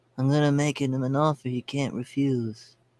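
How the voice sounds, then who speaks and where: In a put-on character voice, a man mumbles at a moderate pace with a raspy, medium-pitched sound and monotone, flat intonation. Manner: menacing, gravelly.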